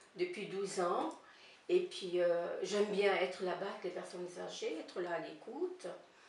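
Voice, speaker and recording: At a moderate pace and with ordinary pitch variation, a woman speaks over noticeable background noise, her voice carrying audible room echo. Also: medium pitch for a woman. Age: 60s. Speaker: volunteer visiting elderly people. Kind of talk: interview. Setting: filmed interview with director behind camera. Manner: halting.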